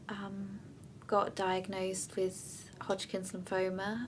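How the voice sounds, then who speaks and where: A woman at a very slow pace, medium in pitch, with a Danish accent. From Denmark. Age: 20s. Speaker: bereaved partner. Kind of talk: testimony. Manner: hesitant, with many fillers.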